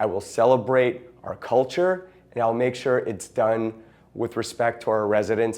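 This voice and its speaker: At a moderate pace, a man with an American accent speaks in a dark, mellow tone. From Hermosa Beach, Southern California. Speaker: city council candidate. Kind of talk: campaign statement. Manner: casual, halting.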